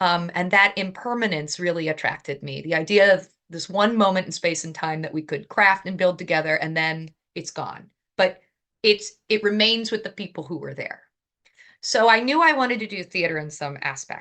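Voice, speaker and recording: Her voice is bright, sharp and animated, at a medium pitch with ordinary pitch variation and a moderate pace. Big swings in loudness stand out for this woman against a quiet background. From Southern Indiana, US. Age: 30s. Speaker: opera singer and producer. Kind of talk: interview. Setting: podcast interview.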